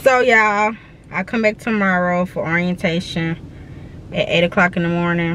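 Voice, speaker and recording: There is noticeable background noise as a woman with a fairly low voice speaks in a dry sound with no echo. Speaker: vlogger. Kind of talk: casual vlog chat. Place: car. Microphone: phone near.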